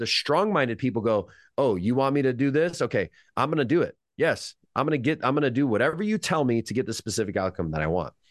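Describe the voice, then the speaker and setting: Recorded dry and close with no echo, a man with an American accent talks very fast at a medium pitch, with vocal fry and very wide pitch swings. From California. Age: 30s. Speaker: hypnotist. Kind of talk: casual interview chat.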